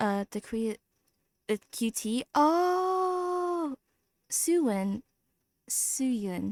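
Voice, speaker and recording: A woman speaks at a very slow pace with a high pitch and very wide pitch swings. Long, frequent pauses break up her speech, and the sound is dry and close with no echo. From Vietnamese family. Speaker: gaming streamer. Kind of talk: live stream chat while gaming. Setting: live stream. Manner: animated.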